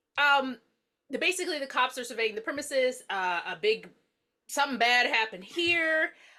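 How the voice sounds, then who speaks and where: Raising and projecting her voice, a woman with an American accent speaks at a moderate pace in a high pitch, with lively intonation and a bright, sharp tone. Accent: Southern US, comes and goes. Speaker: podcast host. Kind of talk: casual chat.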